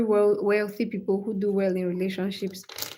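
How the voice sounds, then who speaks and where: With audible room echo around her, a woman speaks at a fairly high pitch. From Cameroon. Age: 20s. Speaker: live-stream host. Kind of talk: live stream chat. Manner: animated.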